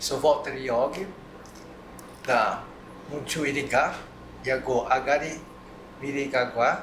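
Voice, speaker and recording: With long, frequent pauses, a man with a fairly high voice speaks very slowly and with fairly even intonation. Room echo is audible, along with noticeable background noise. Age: 60s. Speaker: community association member. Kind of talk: round-table discussion.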